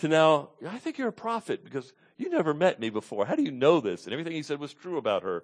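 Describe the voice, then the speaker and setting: Fairly high-pitched male voice with vocal fry and very wide pitch swings, at a fairly quick pace against a quiet background. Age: 50s. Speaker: pastor. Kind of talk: sermon. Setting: church.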